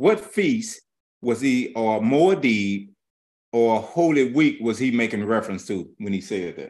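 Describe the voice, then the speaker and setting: Lively intonation runs through an ordinary speaking voice. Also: man. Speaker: Bible teacher. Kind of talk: sermon. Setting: live stream.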